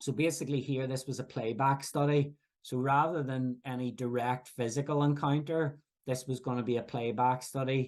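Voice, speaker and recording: Speaking in a Northern Irish accent, a man keeps a moderate pace and a medium pitch. His intonation is monotone and flat. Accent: Northern Irish (Belfast). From Northern Ireland, Belfast. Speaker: professor. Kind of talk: lecture. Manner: halting, frequent fillers and restarts.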